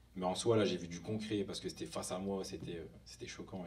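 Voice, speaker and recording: A fairly low-pitched man at a very fast pace, with ordinary pitch variation and audible room echo. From northern France, near Lille. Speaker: hip hop dancer. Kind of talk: conference talk. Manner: casual.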